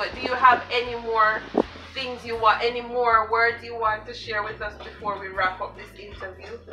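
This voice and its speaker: A woman speaks at a moderate pace in a monotone, flat intonation over noticeable background noise. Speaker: interviewer. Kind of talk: interview questions. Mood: warm, cheerful. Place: home room.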